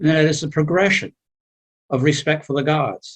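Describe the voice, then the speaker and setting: This man's voice is somewhat breathy and fairly high in pitch. He talks at a moderate pace. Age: 70s. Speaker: seminar participant. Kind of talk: class discussion. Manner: halting.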